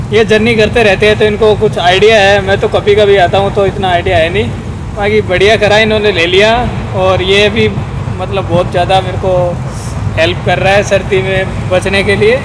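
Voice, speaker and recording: A man speaks at a moderate pace and very even loudness against noticeable background noise. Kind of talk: casual interview answer. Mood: cheerful, joking. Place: train. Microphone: lapel.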